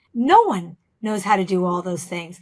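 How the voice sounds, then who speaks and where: The woman talks fairly slowly, her intonation lively. Her recording is very clean, with total silence behind her. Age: 60s. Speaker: business founder and CEO. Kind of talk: interview.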